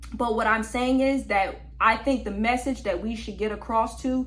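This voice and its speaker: A somewhat breathy woman with a fairly high pitch speaks at a fairly quick pace, with audible room echo. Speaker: podcast host. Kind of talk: opinion monologue. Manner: animated.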